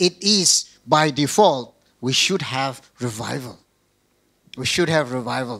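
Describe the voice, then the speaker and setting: In a Northeast Indian accent, a man speaks at a very slow pace with a bright, sharp tone and lively intonation. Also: quiet background. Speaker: pastor. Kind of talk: sermon. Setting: video call. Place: church. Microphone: handheld.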